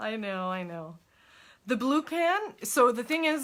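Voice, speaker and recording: A woman's bright, sharp voice at a moderate pace, with a French Canadian accent. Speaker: crafter. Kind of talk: tutorial. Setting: live stream. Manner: casual.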